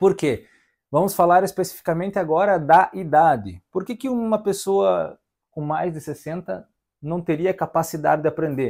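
A high-pitched man talks at a moderate pace with ordinary pitch variation and big swings in loudness against a quiet background. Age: 30s. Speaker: accordion teacher. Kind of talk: online lesson. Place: home room. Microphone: lapel.

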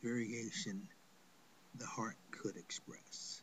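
A man speaks in a somewhat breathy voice at a fairly slow pace. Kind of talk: spoken word poem read aloud. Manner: measured, lyrical, sing-song rhythm with rhymed cadence.

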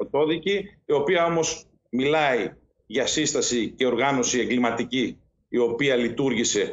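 Speaking at a fairly slow pace, a man talks. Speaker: politician, remote guest. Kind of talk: interview answer. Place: home room. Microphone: video call.

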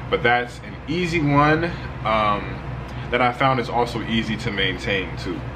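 Lively intonation marks this man's speech amid noticeable background noise. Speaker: spiritual content creator. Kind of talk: tutorial. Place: home room.

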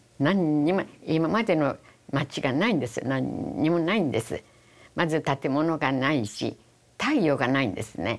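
The speaker has a Hiroshima accent. The intonation is lively. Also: woman, very deep, low pitch for a woman, fairly slow pace. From Japan, Hiroshima; Japan. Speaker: atomic bomb survivor. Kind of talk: testimony. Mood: solemn, reflective. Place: studio. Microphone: lapel.

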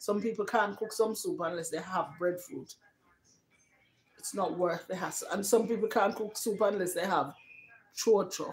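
A fairly low-pitched woman's voice at a moderate pace, with ordinary pitch variation.

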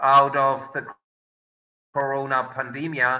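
The man talks at a very slow pace. Behind him, the background is quiet. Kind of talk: formal introduction of speakers. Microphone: video call.

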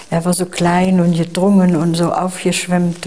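The woman talks very slowly. Her voice sits fairly low. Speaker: eyewitness interviewee. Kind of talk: interview answer. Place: home room. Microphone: lapel.

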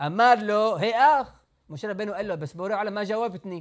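The background is quiet. A man speaks in a high pitch. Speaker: rabbi teaching Torah. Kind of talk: religious lecture. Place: church. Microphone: lapel.

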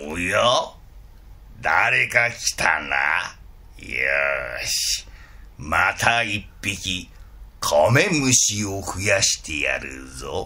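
In a put-on character voice, a man speaks raspy and very deep, at a very slow pace with long, frequent pauses over light background noise. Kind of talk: picture-book storytelling in kodan style. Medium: read story.

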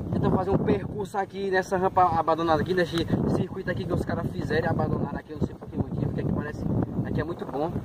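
Loud background noise fills the clip. The speech is very fast, with a dry sound and no echo. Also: man. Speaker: dirt bike vlogger. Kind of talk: casual vlog chat. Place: open country. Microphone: phone near.

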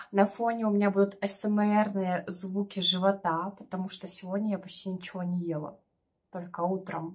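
A woman speaks at a fairly slow pace, somewhat breathy, with fairly even intonation. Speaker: mukbang vlogger. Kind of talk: casual vlog chat. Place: home room. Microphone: phone near.

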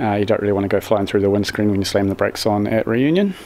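A man talks with ordinary variation in his pitch. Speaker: car build vlogger. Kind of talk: casual vlog chat. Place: workshop. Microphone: phone near.

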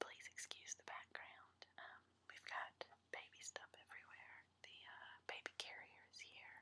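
A woman whispering at a fairly slow pace. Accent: American. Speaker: mother. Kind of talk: ASMR show and tell. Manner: whispered. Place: home room. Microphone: webcam.

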